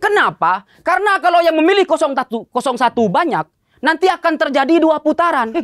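A man speaks at an extremely high pitch. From Madura, Indonesia; Indonesia. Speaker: stand-up comedian. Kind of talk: stand-up. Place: stage. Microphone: handheld.

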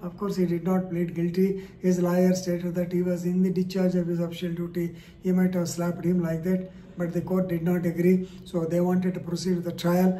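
Light background noise sits behind a man speaking at a fairly quick pace. His voice is high-pitched and monotone, with flat intonation. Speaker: legal commentator. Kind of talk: explainer on a court case. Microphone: phone near.

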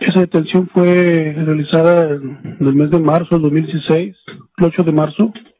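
Over light background noise, a plain, everyday voice talks with fairly even intonation. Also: man. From Mexico. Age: 30s. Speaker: police officer, witness; witness. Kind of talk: court testimony. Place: hall. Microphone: podium.

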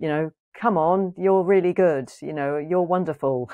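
Against a quiet background, a speaker with an English accent talks at a moderate pace with ordinary pitch variation. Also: woman. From England. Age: 50s. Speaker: psychotherapist and author; podcast guest. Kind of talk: interview conversation. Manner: hesitant, many fillers. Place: home room. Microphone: earbuds.

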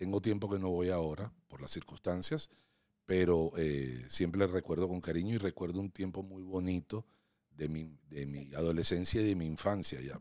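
In a quiet background with dry sound and no echo, a man with a very deep, low pitch speaks at a moderate pace, his pitch varying in an ordinary way and his loudness swinging widely. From Venezuela. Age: 60s. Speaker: real estate agent; podcast guest. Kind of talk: casual interview. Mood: warm, reflective storytelling. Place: studio. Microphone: studio mic.

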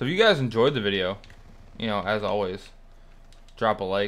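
A man speaks at a moderate pace with a fairly low pitch. The recording is very clean, with a silent background. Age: 20s. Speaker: gaming YouTuber. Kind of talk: live gameplay commentary. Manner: casual, conversational.

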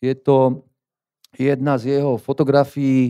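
A man's medium-pitched voice against a quiet background. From Slovakia. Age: 50s. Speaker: gallery owner and fine art printer. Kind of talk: conference talk. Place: hall. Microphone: handheld.

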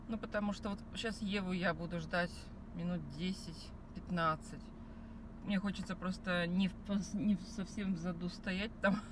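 A woman's fairly low pitch, with fairly even intonation at a moderate pace

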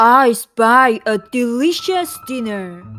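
At a very slow pace, a female-sounding voice pitched high does a put-on character voice while faint music plays in the background. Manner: menacing.

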